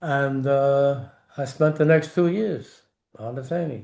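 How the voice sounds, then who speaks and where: A man with a New York accent talks in a dark, mellow tone at a fairly high pitch. His intonation stays fairly even against a quiet background. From New York City. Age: 80s+. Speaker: war veteran. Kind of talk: interview. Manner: halting.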